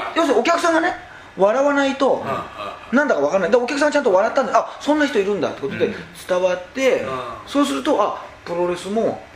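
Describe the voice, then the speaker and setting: A man's extremely high voice, very fast and lively, with audible room echo and noticeable background noise. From northern Hyogo, Toyooka (Kansai region). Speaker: stand-up comedian. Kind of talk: casual chat. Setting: karaoke box.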